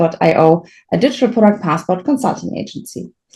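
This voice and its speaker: A woman with a German accent talks at a moderate pace in a dark, mellow tone. Her lively intonation is edged with vocal fry. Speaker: podcast host, consultancy founder. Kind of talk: podcast interview.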